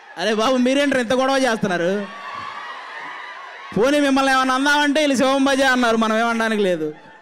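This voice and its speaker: A man with an extremely high pitch and a passionate tone, ordinary pitch variation, very even loudness, and noticeable background noise. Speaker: comedian and actor. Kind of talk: speech at a film trailer launch event. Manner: forceful, passionate.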